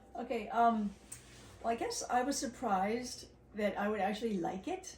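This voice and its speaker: A woman with a fairly high pitch and ordinary pitch variation speaks at a moderate pace over noticeable background noise. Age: 60s. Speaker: long-distance hiker. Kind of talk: casual interview.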